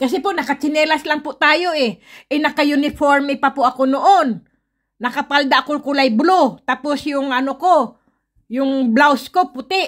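A woman speaks at a moderate pace in a high voice with ordinary pitch variation. The recording is very clean, with a silent background. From Philippines. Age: 50s. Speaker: vlogger. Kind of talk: casual vlog monologue. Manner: animated.

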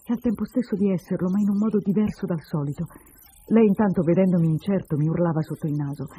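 The speaker reads aloud in a natural voice, and the pitch moves up and down in an ordinary way.

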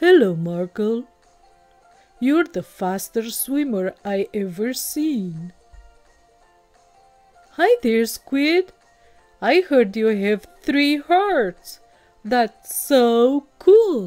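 A woman does a put-on character voice at a high pitch, speaking at a very slow pace with long, frequent pauses over faint music in the background. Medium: read story. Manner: proud, then warm and enthusiastic.

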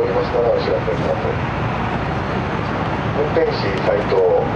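A man talks over loud background noise. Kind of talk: onboard announcement. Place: train. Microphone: pa.

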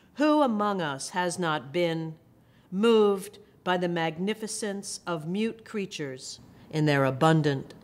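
A woman speaks at a very slow pace with lively intonation. Her pitch sits fairly low. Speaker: poet and professor. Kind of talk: poetry reading with brief intro. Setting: video recording. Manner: measured, expressive, reflective. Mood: calm, measured, tender. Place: hall.

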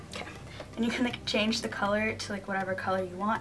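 Faint music plays in the background as a woman speaks at a very fast pace. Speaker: vlogger. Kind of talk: casual vlog chat. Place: home room.

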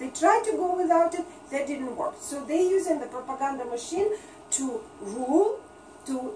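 Light background noise and audible room echo surround a woman with a Russian accent. She speaks at a moderate pace with lively intonation. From Russia, Leningrad. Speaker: writer and seminar presenter; presenter. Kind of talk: lecture. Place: shop. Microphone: camera far.

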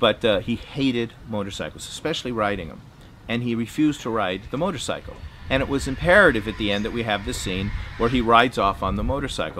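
A man's very fast speech with lively intonation, over light background noise. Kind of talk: anecdotal interview monologue. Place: garden.

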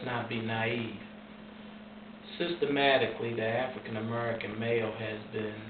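A man at a moderate pace with ordinary pitch variation, amid noticeable background noise. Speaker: formerly incarcerated man. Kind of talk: interview answer. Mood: earnest, serious. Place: home room.

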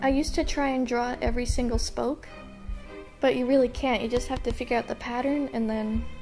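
Over background music, a woman with a high pitch speaks with fairly even intonation. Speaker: artist. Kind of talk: casual voice-over for art time lapse.

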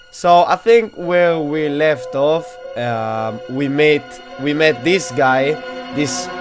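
A man speaks very slowly while music plays clearly in the background. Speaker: gaming video creator. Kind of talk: casual gameplay commentary. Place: home room. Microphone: headset.

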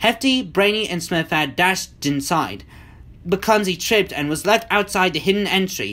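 A speaker uses a natural reading voice.

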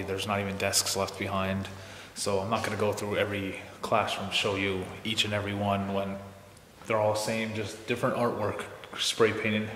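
At a moderate pace, the voice stays monotone and flat, with audible room echo and light background noise. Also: man. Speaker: urban explorer vlogger. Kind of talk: casual vlog chat. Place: hall. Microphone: phone near.

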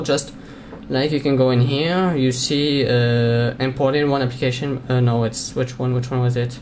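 The speech has an American accent and a fairly quick pace. Noticeable background noise sits behind it. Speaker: Minecraft server forum manager. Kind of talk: screen-recorded tutorial commentary. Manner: casual, chatty.

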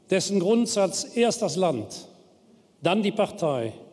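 With an Aachen accent, a man speaks very slowly in a high-pitched voice with very wide pitch swings. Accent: Würselen. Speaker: politician. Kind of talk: political speech. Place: hall. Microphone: podium.

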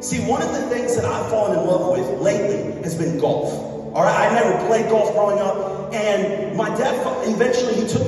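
A man's high voice at a fairly quick pace with ordinary pitch variation, in strong room echo, over faint music in the background. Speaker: speaker. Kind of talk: sermon. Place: church.

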